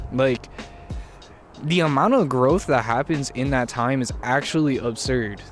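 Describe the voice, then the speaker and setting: A man speaks at medium pitch with ordinary pitch variation. Music plays in the background. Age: 20s. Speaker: YouTuber and musician. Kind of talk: casual vlog monologue. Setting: outdoors. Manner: halting, filler-heavy.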